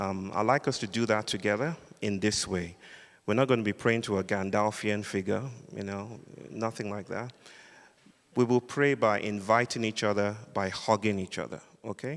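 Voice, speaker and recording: Speaking at a moderate pace with a Nigerian accent, a man with a fairly low pitch shows ordinary pitch variation. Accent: Nigerian (Yoruba) English. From Western Nigeria (Yoruba). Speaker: philosopher and public speaker. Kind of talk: public lecture. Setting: sanctuary with live audience. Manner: animated.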